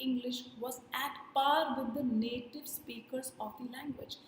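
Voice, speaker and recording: Spoken at a fairly slow pace with an Indian accent, the voice keeps a fairly even intonation while audible room echo surrounds it. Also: woman. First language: Hindi. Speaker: communication skills trainer. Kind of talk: workshop lecture. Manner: deliberate, explanatory with repetitions.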